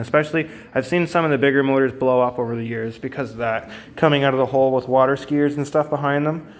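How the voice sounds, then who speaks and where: A man's fairly high voice with an Ontario accent, very fast and fairly even in intonation, over noticeable background noise. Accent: Canadian English (Ontario). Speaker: outboard motor mechanic. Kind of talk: tutorial. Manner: halting, many fillers; unscripted, conversational.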